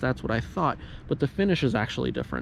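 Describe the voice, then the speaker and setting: A man is talking. His speech moves at a very fast pace. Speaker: car YouTuber. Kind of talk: vlog.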